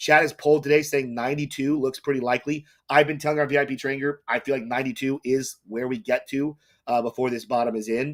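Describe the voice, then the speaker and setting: A man's fairly high, monotone voice at a very fast pace, flat in intonation, in a very clean recording with a silent background. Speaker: crypto YouTuber. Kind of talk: livestream market commentary.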